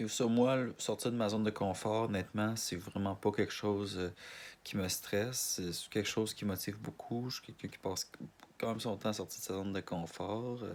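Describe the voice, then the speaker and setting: A man talks in a strong Canadian French accent with fairly even intonation. The recording is very clean and the background silent. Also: fairly low pitch for a man, moderate pace. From Quebec, Montreal. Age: 20s. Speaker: casting applicant. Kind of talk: self-presentation video. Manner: halting, many restarts and fillers.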